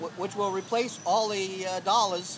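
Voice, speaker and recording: A moderate pace and fairly even intonation, noticeable background noise underneath. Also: man. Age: 60s. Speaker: homeless man. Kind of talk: street interview. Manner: halting, many fillers and repeats.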